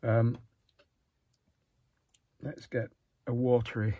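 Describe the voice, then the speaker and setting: Very slowly and somewhat breathily, a man speaks in a dry sound with no echo. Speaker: watercolour artist demonstrating. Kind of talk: tutorial. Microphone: phone near.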